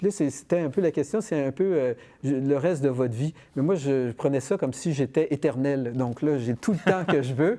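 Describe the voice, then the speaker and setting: A man speaks at a moderate pace in a fairly high voice with a dark, mellow tone. His pitch varies in an ordinary way over a quiet background. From Quebec, Montreal (Verdun). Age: 60s. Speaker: cartoonist and illustrator. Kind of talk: interview. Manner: halting, many repetitions.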